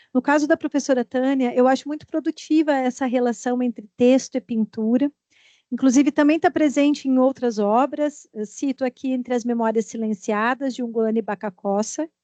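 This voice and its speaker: A woman with a high pitch and a dark, mellow tone speaks at a moderate pace with fairly even intonation, the sound dry and close with no echo. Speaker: audience member, literature researcher. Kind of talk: academic Q&A question. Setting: academic seminar panel.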